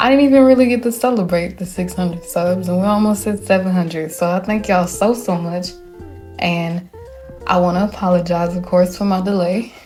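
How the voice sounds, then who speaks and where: With music in the background, a woman speaks in a Southern US accent at a fairly low pitch with ordinary pitch variation. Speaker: gaming YouTuber. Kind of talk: casual talk to camera. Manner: warm, friendly.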